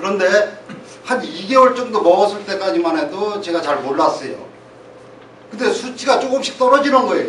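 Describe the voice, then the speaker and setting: A man talks at a moderate pace with lively intonation and long, frequent pauses. Background noise is noticeable, and the room echo is audible. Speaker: shop owner giving testimony. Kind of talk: testimony.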